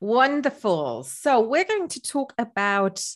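A woman speaks against a quiet background. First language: not English. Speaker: business consultant and podcast host. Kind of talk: interview.

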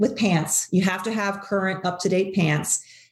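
This woman talks at a moderate pace with a medium pitch, fairly even intonation, and a somewhat breathy quality. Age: 50s. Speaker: personal stylist and entrepreneur. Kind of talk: casual interview chat. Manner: hesitant, many fillers and repeats.

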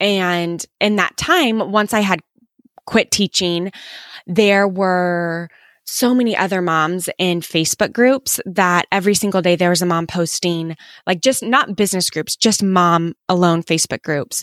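Recorded very cleanly against a silent background, a woman with an American accent speaks at a fairly slow pace with ordinary pitch variation. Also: medium pitch for a woman. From US Midwest, Kansas City. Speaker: former teacher, freelancing course creator. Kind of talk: interview.

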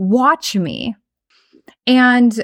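Animated in tone, a woman speaks with ordinary pitch variation. The recording is very clean and silent in the background, with a dry, close sound and no echo. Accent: American. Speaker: podcast host and spiritual business coach. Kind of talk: casual personal storytelling monologue.

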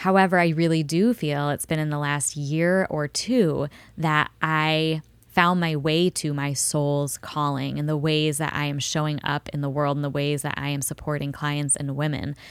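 At a moderate pace and with fairly even intonation, the speech sits on a very clean recording with a silent background. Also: woman, very deep, low pitch for a woman. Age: 30s. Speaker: spiritual life coach and podcast host. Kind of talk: solo podcast monologue. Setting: recording studio.

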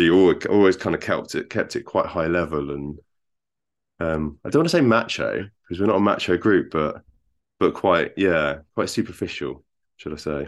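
The speaker has an English accent and a moderate pace. The background is quiet. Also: man. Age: 40s. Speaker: software engineer and husband of a program participant. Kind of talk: interview. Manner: halting.

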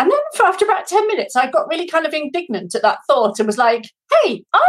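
The speaker has a British accent, and the pitch swings very widely. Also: woman. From Britain. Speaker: life coach. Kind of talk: testimony. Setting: video call.

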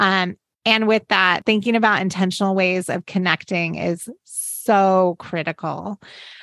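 In an ordinary speaking voice, a woman with a medium pitch talks at a fairly slow pace with fairly even intonation, in a dry, close sound with no echo against a quiet background. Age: 40s. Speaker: podcast co-host, designer and business partner. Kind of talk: casual chat.

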